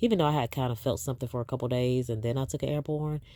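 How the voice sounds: Over a silent background in a very clean recording, a woman with a dark, mellow tone and an extremely low pitch talks at a very fast pace with fairly even intonation.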